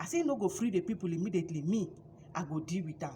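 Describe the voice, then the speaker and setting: A somewhat breathy voice, dark and mellow in tone, at a fairly quick pace. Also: woman. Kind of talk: casual Bible storytelling to camera. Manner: lively, chatty.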